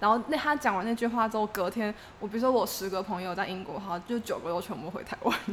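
Noticeable background noise sits behind a woman talking at a very fast pace. Her pitch is fairly high, with ordinary variation. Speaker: graduate student abroad. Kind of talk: casual chat.

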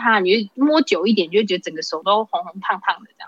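The speaker goes at a very fast pace with very wide pitch swings. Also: woman. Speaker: hotel worker. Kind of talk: casual chat.

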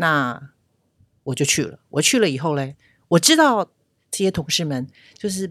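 Her pitch very deep and low, a woman speaks with lively intonation at a moderate pace, leaving long, frequent pauses, in a very clean recording with a silent background. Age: 60s. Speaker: retail store clerk. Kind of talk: interview. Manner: gentle, soft-spoken at first.

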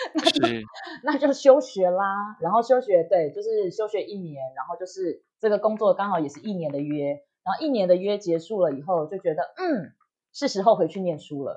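This woman talks at a moderate pace in a medium pitch, her dark, mellow tone marked by very wide pitch swings and big swings in loudness. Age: 30s. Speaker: writer. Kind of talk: interview.

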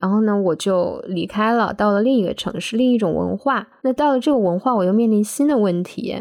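Her voice fairly high in pitch yet dark and mellow in tone, a woman speaks at a moderate pace with ordinary pitch variation. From northeastern China, Daqing. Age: 30s. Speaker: podcast co-host. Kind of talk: casual chat. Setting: remote recording.

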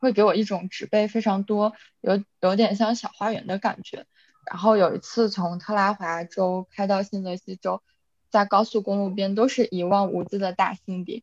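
Her intonation monotone and flat, a woman speaks with a slight Northeast Chinese accent in a dry, close sound with no echo. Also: medium pitch for a woman, moderate pace. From Inner Mongolia, Chifeng (near Northeast China). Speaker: podcast co-host, graduate student. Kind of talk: casual chat.

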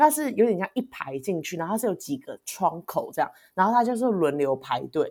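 A woman's fairly quick speech with very wide pitch swings. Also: medium pitch for a woman. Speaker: podcast co-host. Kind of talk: casual chat. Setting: remote call across time zones.

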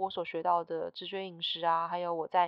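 This woman's voice sits fairly low. Her intonation is monotone and flat. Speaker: podcast host, intuitive eating coach. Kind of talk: casual solo monologue.

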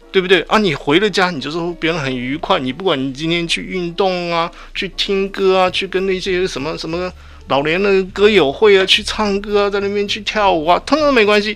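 With noticeable background noise, a man speaks at a high pitch and a fairly quick pace, using ordinary pitch variation. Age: 60s. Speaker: retired veteran, sexology doctoral student. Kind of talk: radio interview. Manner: halting.

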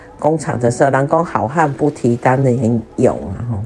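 A voice with ordinary pitch variation speaks at a fairly slow pace over noticeable background noise. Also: woman. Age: 50s. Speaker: podcast host, retiree. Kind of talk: casual monologue. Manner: halting, many fillers.

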